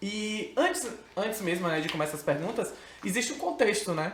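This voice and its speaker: Over noticeable background noise and audible room echo, a man with a high pitch speaks at a moderate pace, his voice making very wide pitch swings. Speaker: podcast host. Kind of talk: podcast interview.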